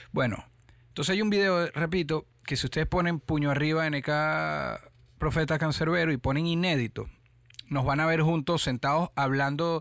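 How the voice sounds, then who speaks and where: A man with an ordinary speaking voice and fairly high pitch talks at a moderate pace against a quiet background, his intonation fairly even and his loudness very even. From Venezuela, Caracas. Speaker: rapper. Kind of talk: interview.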